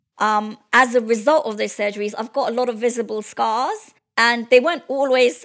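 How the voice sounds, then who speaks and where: A woman's high-pitched voice at a fairly quick pace, fairly even in intonation but with big swings in loudness, on a very clean recording with a silent background. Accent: English. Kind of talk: interview.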